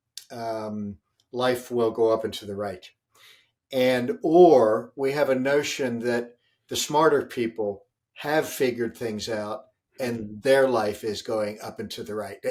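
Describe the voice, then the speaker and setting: Against a silent background in a very clean recording, a man speaks at a fairly slow pace in a medium pitch with ordinary pitch variation, a plain, everyday voice. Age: 60s. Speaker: leadership author and speaker. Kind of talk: interview.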